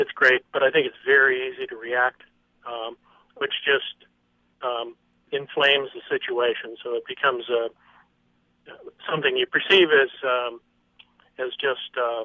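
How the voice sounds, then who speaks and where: A man speaks at a fairly slow pace, his pitch medium and his intonation fairly even. Long pauses come often. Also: big swings in loudness. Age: 60s. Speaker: caller. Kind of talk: phone-in call. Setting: phone call. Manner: hesitant, many fillers.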